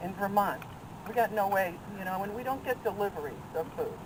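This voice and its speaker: A woman speaks over noticeable background noise. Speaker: friend of the deceased. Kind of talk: memorial tribute. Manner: loud.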